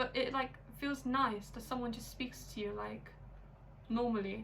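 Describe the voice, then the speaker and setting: A woman with an English accent is heard with audible room echo. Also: moderate pace. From England, London. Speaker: YouTuber in international couple. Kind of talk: casual chat. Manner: animated, frequent 'like' fillers.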